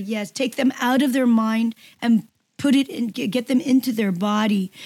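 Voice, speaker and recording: A somewhat breathy woman at a fairly high pitch, with ordinary pitch variation and a fairly slow pace, in a dry, close sound with no echo on a very clean recording with a silent background. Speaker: health radio host. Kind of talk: radio interview. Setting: radio show.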